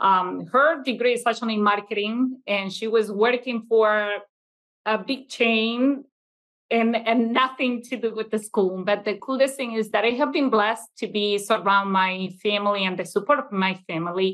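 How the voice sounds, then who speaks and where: Moderate pace, ordinary pitch variation, and a Venezuelan accent. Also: woman, fairly high pitch for a woman. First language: Italian. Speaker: childcare business owner. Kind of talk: casual interview. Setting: video call. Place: classroom. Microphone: webcam.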